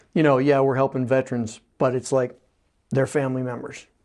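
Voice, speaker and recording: A man talks in a Western Pennsylvania accent. His pace is fairly quick. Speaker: veterans agent, TV forum host. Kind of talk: interview. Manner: hesitant, many filler words.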